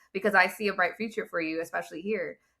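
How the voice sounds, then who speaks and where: An American-accented woman speaks at a medium pitch with an animated, bright, sharp tone and ordinary pitch variation. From Southern California. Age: 40s. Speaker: laid-off corporate professional. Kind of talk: casual interview conversation.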